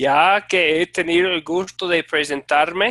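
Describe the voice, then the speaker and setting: A man with an American accent speaks at a very slow pace, his bright, sharp tone heard in a dry, close sound with no echo. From United States. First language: English (speaking Spanish). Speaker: Bible teacher, former pastor and missionary. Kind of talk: online class introduction. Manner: halting, with many fillers.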